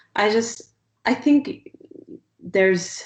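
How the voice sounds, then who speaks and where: A woman is soft-spoken. She talks at a very slow pace. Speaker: artist. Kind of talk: interview answer.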